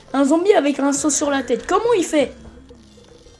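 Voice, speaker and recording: Over music in the background, a high-pitched woman talks at a fairly slow pace with an animated tone and lively intonation. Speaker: gaming streamer. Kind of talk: gameplay commentary.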